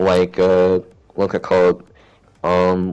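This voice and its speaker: A man is speaking. His voice is gravelly. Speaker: gamer. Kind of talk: casual chat. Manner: raised pitch, higher than natural; halting, many fillers.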